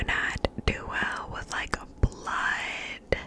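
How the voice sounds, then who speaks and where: Through noticeable background noise, a woman whispers in a breathy voice. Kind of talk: ASMR whispering. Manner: breathy, whispered, slow.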